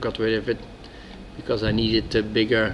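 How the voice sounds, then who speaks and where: A man with a strong Dutch accent, fairly slow in pace, amid noticeable background noise. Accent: heavy Dutch. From Netherlands. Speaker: former soldier, outdoor hobbyist. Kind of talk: casual product talk to camera.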